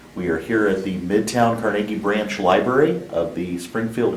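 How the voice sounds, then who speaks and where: Through noticeable background noise, a man speaks at a fairly low pitch with ordinary pitch variation. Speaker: oral history interviewer, Coast Guard Auxiliary officer. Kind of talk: interview questions.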